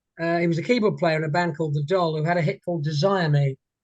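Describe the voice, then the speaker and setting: English-accented, the man speaks at a high pitch with fairly even intonation. The sound is dry and close, with no echo. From England, moved around north and south. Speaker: singer. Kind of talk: interview. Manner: halting.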